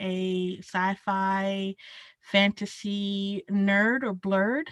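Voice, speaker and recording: In a Southern US accent, a woman of medium pitch speaks very slowly, on a very clean recording with a silent background and a dry, close sound with no echo. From rural South Carolina. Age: 30s. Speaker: archivist. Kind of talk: interview. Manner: casual, many fillers.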